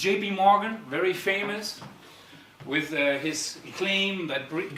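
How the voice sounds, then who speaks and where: Audible room echo and noticeable background noise surround a man speaking with ordinary pitch variation. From Germany, Darmstadt, Italian-German. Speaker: startup founder and CEO. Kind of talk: conference talk. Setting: stage with audience. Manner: halting.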